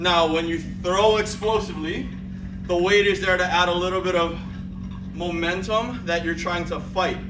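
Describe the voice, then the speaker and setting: A man at a fairly slow pace, with music in the background. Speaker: fitness trainer. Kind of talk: tutorial. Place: gym. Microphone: camera far.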